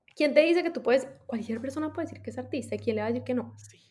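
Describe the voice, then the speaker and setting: A woman is speaking. Her voice sits high in pitch. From Colombia, Medellín, raised in US. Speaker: writer and lawyer. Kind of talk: casual interview.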